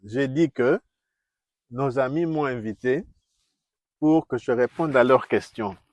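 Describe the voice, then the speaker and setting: Speaking with a Congolese accent, a man at a medium pitch goes at a very slow pace with long, frequent pauses and ordinary pitch variation. The sound is dry and close, without echo. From DR Congo. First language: Kikongo (speaking French). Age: 60s. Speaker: diplomat and former university teacher. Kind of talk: interview. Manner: halting.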